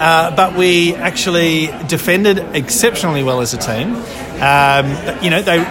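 With an Australian accent, a man talks in a fairly high pitch with ordinary pitch variation while noticeable background noise sits behind him. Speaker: football fan. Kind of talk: casual chat about a football match. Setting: pub. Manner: hesitant, filler-heavy.

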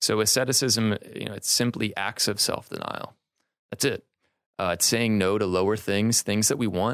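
A man speaks in an ordinary speaking voice at a fairly low pitch with fairly even intonation, on a very clean recording with a silent background. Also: moderate pace. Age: 20s. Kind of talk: casual chat.

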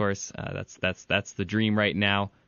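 A man talks at a fairly low pitch with an American accent. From Michigan (Ann Arbor). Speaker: podcast host, sports writer. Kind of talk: casual chat; interview.

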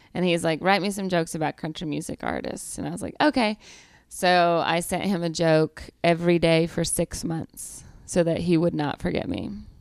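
A woman with a Southern US accent and fairly even intonation, on a very clean recording with a silent background. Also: moderate pace. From US South, Georgia. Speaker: comedian. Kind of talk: casual chat.

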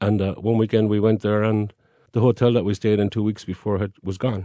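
Speaking at a fairly quick pace with a Cork accent, a man has a fairly low pitch, a dark, mellow tone and flat, monotone intonation, recorded dry and close with no echo. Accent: Cork Irish. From Ireland, Cork. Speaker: Irish guest. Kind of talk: casual chat.

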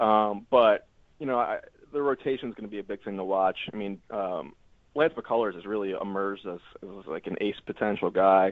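A man's fairly low-pitched voice, an ordinary speaking voice, at a moderate pace with ordinary pitch variation and big swings in loudness. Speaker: baseball beat writer. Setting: phone call.

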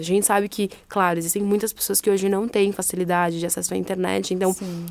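An unremarkable speaking voice from a woman, medium in pitch and fairly even in intonation, at a fairly quick pace. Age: 20s. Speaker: non-profit HR manager. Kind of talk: interview.

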